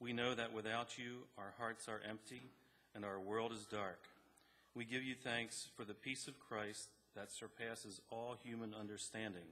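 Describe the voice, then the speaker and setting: A man talks at a moderate pace in a bright, sharp tone. His intonation stays monotone and flat. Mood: solemn, calm. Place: church. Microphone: podium.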